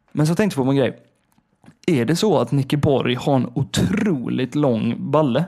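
At a moderate pace, a man talks in an ordinary speaking voice, fairly high in pitch, with lively intonation and very even loudness. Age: 20s. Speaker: podcast co-host. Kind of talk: casual chat.

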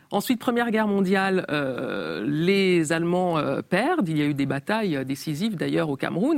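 With very wide pitch swings at a medium pitch, a woman talks at a moderate pace in a dry, close sound with no echo. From Cameroon (Yaoundé area), with French mother. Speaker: journalist and writer. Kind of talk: interview. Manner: hesitant, many fillers.

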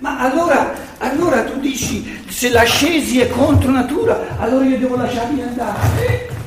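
A man shouting at an extremely high pitch, with audible room echo and noticeable background noise. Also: moderate pace. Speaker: lecturer on philosophy. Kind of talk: lecture. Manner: loud, having to shout; animated.

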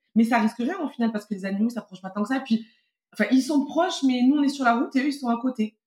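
Her pitch is high and varies in an ordinary way. The woman talks at a very fast pace. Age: 30s. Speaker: parent and travel guest. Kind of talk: casual interview.

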